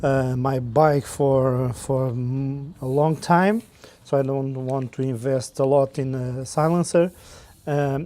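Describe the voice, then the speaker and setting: The speech comes at a very slow pace. It is in a Portuguese accent. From Portugal. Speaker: motorcycle vlogger. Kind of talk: product review. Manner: halting, many fillers and repeats.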